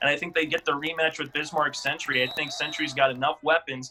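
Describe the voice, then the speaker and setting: Noticeable background noise fills the recording. Over it, a man talks at a fairly high pitch. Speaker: radio announcer. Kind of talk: sports analysis, game predictions.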